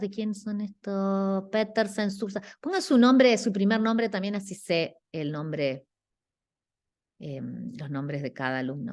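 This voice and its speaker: A woman's pitch swings very widely against a quiet background. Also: big swings in loudness. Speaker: guest architecture lecturer. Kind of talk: class critique of student work. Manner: slow; halting.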